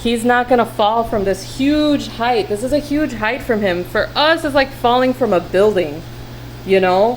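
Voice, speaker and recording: The speaker's intonation is lively, at a moderate pace. Noticeable background noise is heard throughout. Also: woman. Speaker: tarantula keeper vlogger. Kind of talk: casual video rant and tutorial. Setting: at home, talking to camera. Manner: animated.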